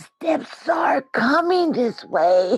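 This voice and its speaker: The put-on character voice is high and raspy, with very wide pitch swings. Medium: stage play. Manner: laughing between phrases.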